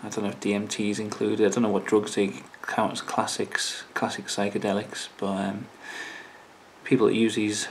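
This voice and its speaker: A man mumbles at a fairly quick pace in a fairly low voice. His intonation stays monotone and flat. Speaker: YouTuber. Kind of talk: casual talk to camera. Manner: hesitant, mumbling.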